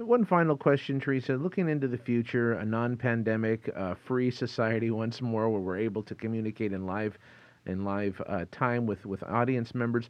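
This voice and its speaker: A man speaks at a moderate pace in a normal speaking voice, medium in pitch with ordinary pitch variation. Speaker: podcast host. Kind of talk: interview. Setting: studio.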